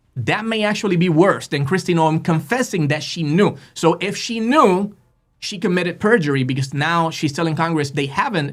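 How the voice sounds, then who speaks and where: An animated man with a Spanish accent, high in pitch, with ordinary pitch variation. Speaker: political podcast host. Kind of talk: casual political commentary. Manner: halting, many fillers.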